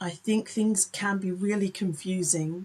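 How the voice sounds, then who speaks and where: Somewhat breathy delivery with monotone, flat intonation. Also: woman. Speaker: author and cartoonist. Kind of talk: casual talk to camera.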